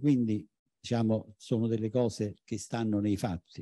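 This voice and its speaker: The voice has a dark, mellow tone, with a dry sound, no echo and a quiet background. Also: man. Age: 70s. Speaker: architecture professor. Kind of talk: conference talk. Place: hall. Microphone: handheld.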